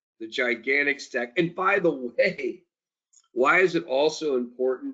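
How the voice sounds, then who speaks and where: A moderate pace and lively intonation. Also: man. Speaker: company executive. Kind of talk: investor briefing. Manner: animated; loud. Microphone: switched off headset mic, speaking without it.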